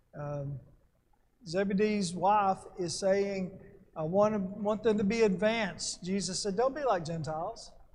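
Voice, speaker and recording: Audible room echo surrounds a man whose high voice shows ordinary pitch variation. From Alabama. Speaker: Bible class teacher. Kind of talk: Bible class lecture.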